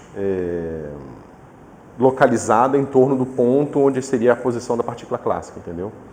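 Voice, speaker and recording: A man speaks at a medium pitch and moderate pace with lively intonation. Audible room echo and noticeable background noise surround him. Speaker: physics professor. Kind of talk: lecture.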